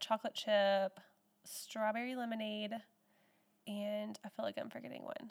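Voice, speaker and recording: At a moderate pace, a woman with an American accent speaks in an unremarkable speaking voice pitched fairly high. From Texas. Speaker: home baker and small business owner. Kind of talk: interview.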